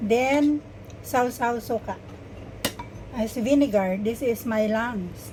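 Against noticeable background noise, a woman with a fairly high pitch and ordinary pitch variation speaks very slowly, with long, frequent pauses. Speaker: vlogger. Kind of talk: casual vlog. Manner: halting.

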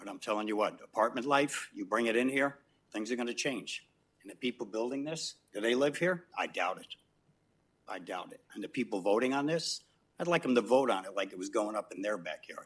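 An unremarkable speaking voice from a man at medium pitch, ordinary pitch variation and big swings in loudness. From New York City. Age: 60s. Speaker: resident speaking at public comment. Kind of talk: public comment at council meeting. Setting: city council chamber.

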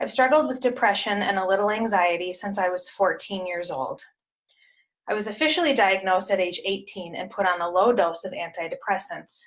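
Lively intonation from a woman at a fairly quick pace, with a quiet background. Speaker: testimonial speaker; speaker. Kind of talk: testimony. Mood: earnest, calm. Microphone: webcam.

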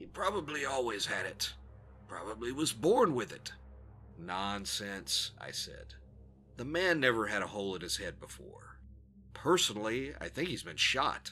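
Over music in the background, a man speaks at a moderate pace with medium pitch and very wide pitch swings. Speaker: narrator. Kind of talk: horror story reading.

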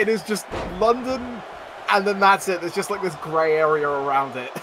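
High-pitched male voice, dry with no echo, over noticeable background noise. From England, outside London. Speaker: gaming stream participant. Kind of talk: casual, profane. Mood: joking, amused. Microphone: headset.

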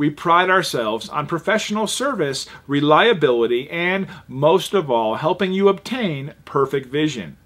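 A man speaks with an unremarkable speaking voice at a fairly high pitch. His intonation is lively and his pace fairly slow. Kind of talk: TV commercial read.

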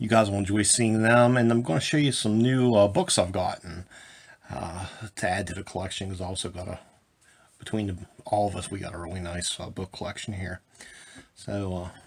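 Light background noise sits behind a man with a fairly low pitch and ordinary pitch variation. He speaks at a fairly quick pace with big swings in loudness. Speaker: collector vlogger. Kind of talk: casual vlog chat. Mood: relaxed, friendly. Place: home room. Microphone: phone near.

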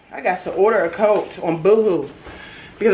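Light background noise under a woman's moderate-paced speech. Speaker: mom vlogger. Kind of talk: casual vlog chat. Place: home room. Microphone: phone near.

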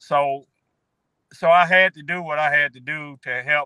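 Against a quiet background, a man speaks in a relaxed tone at a fairly high pitch with monotone, flat intonation. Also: dry sound with no echo. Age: 60s. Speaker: newly found relative of the guest; guest. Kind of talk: interview testimony. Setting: video call. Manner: relaxed, repetitive with fillers. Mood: warm, heartfelt. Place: car. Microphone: video call.

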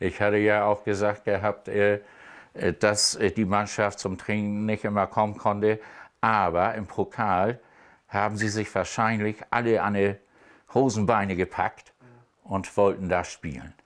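Against a quiet background, a man talks at a fairly slow pace with a fairly low pitch. His intonation is monotone and flat, with long, frequent pauses. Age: 70s. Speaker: amateur football coach. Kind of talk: casual chat. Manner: halting. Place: studio. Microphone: lapel.

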